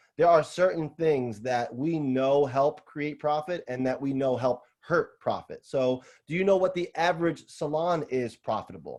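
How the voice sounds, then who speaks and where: A man with a New York accent speaks at fairly high pitch with ordinary pitch variation and hardly any pauses. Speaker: salon owner and business consultant. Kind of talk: webinar Q&A. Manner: fast.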